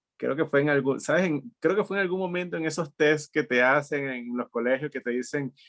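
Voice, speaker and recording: Recorded dry and close with no echo, a man has an unremarkable speaking voice, fairly high in pitch, with ordinary pitch variation and a fairly quick pace. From Venezuela (Maturín, studied in Caracas). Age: 40s. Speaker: entrepreneur. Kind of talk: interview conversation.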